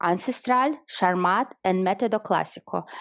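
A woman with a Russian accent speaks in an enthusiastic tone. The background is quiet. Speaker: wine marketer and educator, guest interviewer. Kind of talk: interview. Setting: online audio chat room.

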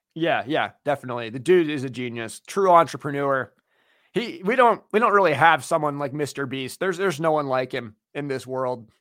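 A man with an American accent talks at a fairly quick pace in a fairly high pitch with lively intonation, on a very clean recording with a silent background. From US Pacific Northwest, Seattle. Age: 20s. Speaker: YouTube creator and video editor, student. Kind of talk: casual chat. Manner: hesitant, filler-heavy.

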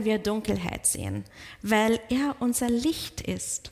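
A woman with a non-native accent speaks at a very slow pace. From outside German-speaking countries. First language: not German (speaking German). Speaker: pastor. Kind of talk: sermon. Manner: halting.

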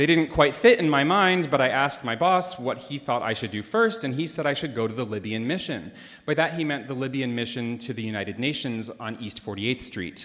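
Lively, fairly quick speech from a man in a plain, everyday voice, medium in pitch, with hardly any pauses. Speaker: classical singer. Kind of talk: live storytelling. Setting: stage with audience.

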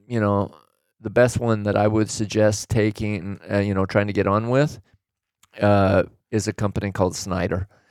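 A man's unremarkable speaking voice, fairly low in pitch, on a very clean recording with a silent background. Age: 60s. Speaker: retired trucker and business owner. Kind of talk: casual chat.

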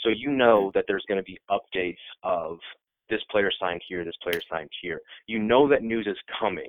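An unremarkable speaking voice: a man at a moderate pace, fairly low-pitched, his pitch varying in an ordinary way. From Iowa, US Midwest. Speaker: sports website editor. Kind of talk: casual chat.

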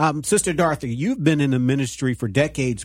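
A man's plain, everyday voice at a medium pitch, fairly quick in pace, with ordinary pitch variation. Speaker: radio host. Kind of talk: interview.

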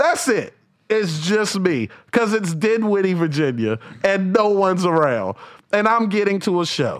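This man's voice is high-pitched. He talks with an American accent. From North Carolina. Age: 30s. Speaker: comedian. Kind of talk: casual chat.

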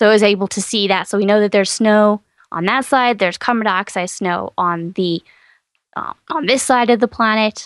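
Recorded very cleanly against a silent background with a dry, close sound and no echo, a woman with an American accent uses an unremarkable speaking voice at medium pitch, a moderate pace and ordinary pitch variation. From East Texas. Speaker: science podcast host. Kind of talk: casual chat.

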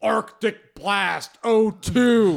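The put-on character voice is booming and fairly high in pitch.

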